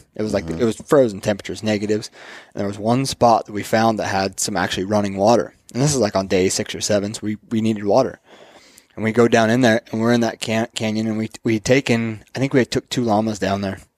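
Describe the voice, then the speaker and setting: Against a quiet background, a man talks at a very fast pace. His fairly low pitch stays fairly even in intonation. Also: dry sound with no echo. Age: 30s. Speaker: podcast co-host; podcast guest. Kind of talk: casual chat. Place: home room. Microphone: headset.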